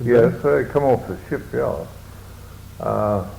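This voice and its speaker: A man is speaking. His pace is very slow. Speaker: war veteran. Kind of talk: interview answer.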